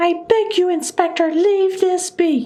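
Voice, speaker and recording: A squeaky put-on character voice from a woman, extremely high in pitch, with fairly even intonation at a fairly slow pace. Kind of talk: Valley Girl voice. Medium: game stream. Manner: arrogant, guarded.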